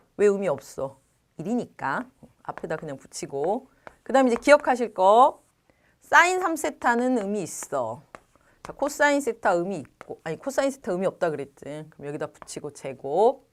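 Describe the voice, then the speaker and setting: A moderate pace, with very wide pitch swings and big swings in loudness, on a very clean recording with a silent background. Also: woman, medium pitch for a woman. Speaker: math tutor. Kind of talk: lecture. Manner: trips over pronunciation.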